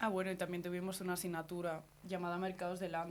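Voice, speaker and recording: This woman speaks at a medium pitch. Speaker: master's student. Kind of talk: radio interview.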